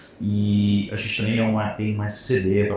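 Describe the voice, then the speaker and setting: With a strong mineiro accent, a man speaks at a fairly low pitch, with audible room echo. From Minas Gerais, Brazil. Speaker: fintech sales director. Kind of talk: panel discussion.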